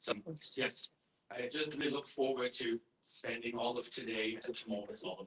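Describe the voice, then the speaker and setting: Talking at a fairly quick pace with a German accent, a man of medium pitch keeps a fairly even intonation while his loudness shows big swings. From Germany. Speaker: activist group chair. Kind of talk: conference welcome speech. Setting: conference stage with audience. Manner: halting, many fillers. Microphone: poor recording quality.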